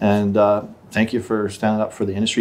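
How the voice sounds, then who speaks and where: In an unremarkable speaking voice, a man with a fairly low pitch talks at a fairly quick pace. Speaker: podcast host. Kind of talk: casual chat. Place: studio. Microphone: studio mic.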